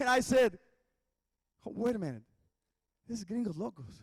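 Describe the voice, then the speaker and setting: A man speaks with a Spanish accent at a moderate pace. His pitch is extremely high. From Mexico. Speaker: worship pastor. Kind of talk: commencement speech. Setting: graduation ceremony.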